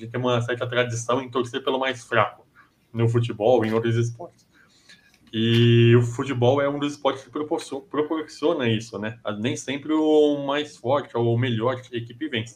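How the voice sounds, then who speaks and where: A man with an ordinary speaking voice, medium in pitch, at a moderate pace with fairly even intonation. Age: 30s. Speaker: sports commentator. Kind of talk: casual chat.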